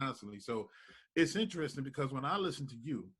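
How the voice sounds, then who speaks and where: A man with an American accent speaks at medium pitch in an animated tone with lively intonation. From New York, Brooklyn. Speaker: radio host. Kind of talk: interview. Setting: studio.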